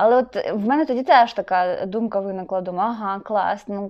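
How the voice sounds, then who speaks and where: She is a woman speaking at a moderate pace and medium pitch in an ordinary speaking voice. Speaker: podcast co-host. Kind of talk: casual chat.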